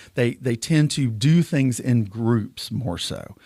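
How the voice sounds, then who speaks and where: In a very clean recording with a silent background, a man speaks with an Alabama accent. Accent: Southern US (Alabama). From US South, southwest Alabama (Clarke County). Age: 60s. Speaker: political candidate. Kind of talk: interview. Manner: animated.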